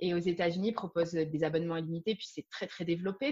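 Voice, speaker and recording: Someone talks at a very fast pace with fairly even intonation. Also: woman. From France. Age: 30s. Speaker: yoga teacher. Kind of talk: interview.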